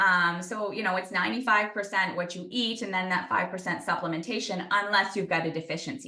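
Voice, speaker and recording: Very fast speech comes from a woman at a medium pitch with ordinary pitch variation. Audible room echo surrounds her voice. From New Brunswick, Canada. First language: French. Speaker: sports nutritionist. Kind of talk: interview Q&A.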